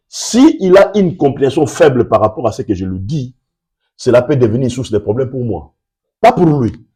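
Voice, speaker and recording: Recorded very cleanly against a silent background, a man speaks at medium pitch with very wide pitch swings, a dark, mellow tone and a somewhat breathy quality. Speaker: pastor. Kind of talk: sermon. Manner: deliberately slow.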